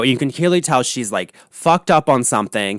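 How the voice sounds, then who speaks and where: In a very clean recording with a silent background and a dry, close sound with no echo, a man with a normal speaking voice talks at a fairly quick pace with lively intonation. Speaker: podcast host and punk rock hairstylist. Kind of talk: casual talk to camera, podcast rant about reality TV.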